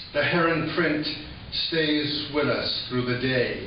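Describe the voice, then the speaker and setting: A man's voice with fairly even intonation, light background noise and audible room echo. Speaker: poet. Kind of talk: poetry reading. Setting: live audience in a hall. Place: hall.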